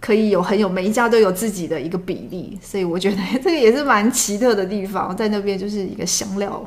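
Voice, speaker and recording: With hardly any pauses, the speaker races along at a very fast pace through audible room echo and noticeable background noise. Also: woman, medium pitch for a woman, ordinary pitch variation. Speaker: former flight attendant. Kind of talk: casual chat.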